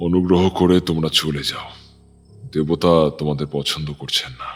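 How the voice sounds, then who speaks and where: A man does a put-on character voice, very deep and low, soft-spoken and shaky. His tone is calm and solemn, his intonation monotone and flat, and his pace moderate. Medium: audio drama. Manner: calm, solemn, measured.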